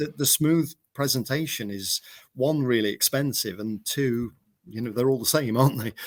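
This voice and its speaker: A man speaks in an English accent at medium pitch with ordinary variation. His pace is moderate, and the recording is very clean with a silent background. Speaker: mower company manager. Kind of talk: casual chat. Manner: halting, stuttering.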